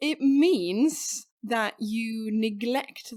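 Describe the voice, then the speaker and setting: Woman with a Swedish accent, ordinary pitch variation, on a very clean recording with a silent background. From southern Sweden, Skåne. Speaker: podcast co-host. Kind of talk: casual chat.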